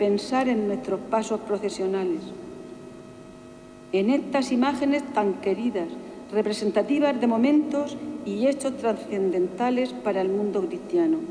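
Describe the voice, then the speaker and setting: A woman speaks fairly slowly in a solemn tone, with fairly high pitch and lively intonation. Her long pauses come often, over noticeable background noise. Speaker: pregonera (Holy Week proclaimer). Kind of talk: personal first-person reflection on a pilgrimage to Jerusalem. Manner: emotional, solemn.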